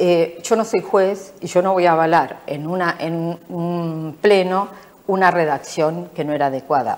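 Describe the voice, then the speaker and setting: A fairly slow pace and ordinary pitch variation, with noticeable background noise. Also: woman. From Argentina. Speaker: local politician. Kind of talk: interview.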